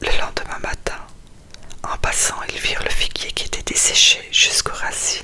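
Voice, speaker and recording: A woman whispering in a soothing tone at a fairly slow pace, with noticeable background noise. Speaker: ASMR creator reading the Gospel. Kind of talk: whispered bedtime scripture reading. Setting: studio, close microphone. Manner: whispered, soft, slow, soothing.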